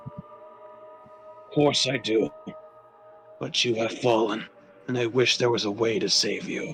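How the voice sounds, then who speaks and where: Clear music plays behind a man doing a put-on character voice, raspy and medium-pitched, delivered at a fairly slow pace. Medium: game stream. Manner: formal, archaic phrasing.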